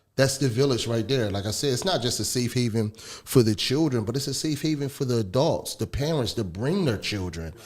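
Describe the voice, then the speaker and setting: A man with a normal speaking voice talks at a fairly quick pace with hardly any pauses. His pitch is medium and his intonation lively. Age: 30s. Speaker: radio host. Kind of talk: radio interview.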